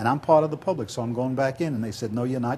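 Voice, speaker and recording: Very fast, somewhat breathy talk from a man. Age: 70s. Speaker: political candidate. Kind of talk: interview.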